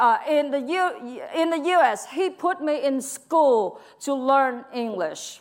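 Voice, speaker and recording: Speaking at a fairly slow pace with a Vietnamese accent, a woman uses lively intonation and an animated tone in a very clean recording with a silent background. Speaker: preacher. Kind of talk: sermon. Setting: church.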